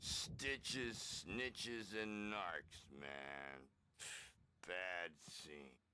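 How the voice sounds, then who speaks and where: A man uses a put-on character voice with a very deep, low pitch. He speaks very slowly, with very wide pitch swings. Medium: video game. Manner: hippie slang, rambling.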